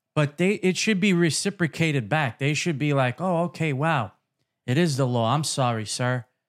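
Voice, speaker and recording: On a very clean recording with a silent background, a man with a Brooklyn accent talks at a moderate pace in a fairly high pitch, with lively intonation and very even loudness. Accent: New York (Brooklyn). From Brooklyn, New York City. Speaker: podcast host. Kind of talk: casual interview.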